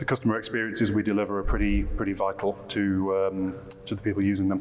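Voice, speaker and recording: Over noticeable background noise, a man with a British accent and a fairly low pitch speaks at a fairly quick pace. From UK. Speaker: marketing director. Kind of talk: panel discussion. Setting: conference stage with audience.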